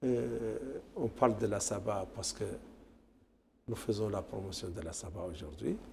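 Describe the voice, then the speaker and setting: With a fairly low pitch and vocal fry, a man speaks fairly slowly with lively intonation and long, frequent pauses. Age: 60s. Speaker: tourism federation official. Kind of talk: TV interview. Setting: TV studio.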